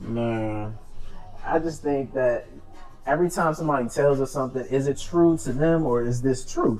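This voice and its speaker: A man's fairly high voice at a moderate pace, with ordinary pitch variation and music in the background. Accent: DC. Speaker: podcast co-host. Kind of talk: casual chat.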